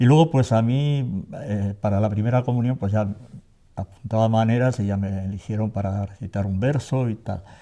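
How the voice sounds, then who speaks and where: A man speaks at a moderate pace in a fairly low voice. His tone is dark and mellow, with ordinary pitch variation. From Navarre, Spain (Tafalla). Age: 60s. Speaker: theatre actor. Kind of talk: interview. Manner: hesitant, with fillers.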